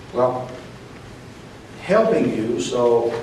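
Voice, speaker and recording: A soft-spoken man with an American accent over noticeable background noise. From Central Illinois. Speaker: post office worker. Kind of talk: rally speech.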